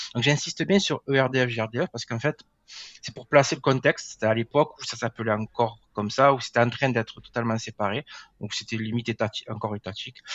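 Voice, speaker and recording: A man speaks very fast with a southern French accent. His medium pitch shows ordinary variation. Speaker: GIS software engineer. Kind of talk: podcast interview. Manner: hesitant, many filler words.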